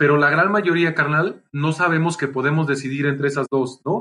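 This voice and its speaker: With a Mexican accent, a man speaks at a moderate pace in a fairly high pitch and a bright, sharp tone. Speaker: entrepreneur and speaker. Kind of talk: casual chat.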